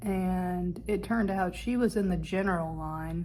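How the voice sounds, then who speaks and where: Audible room echo surrounds a woman whose somewhat breathy voice has a dark, mellow tone. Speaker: vlogger, film and TV actor. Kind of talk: travel vlog. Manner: casual, with hesitations.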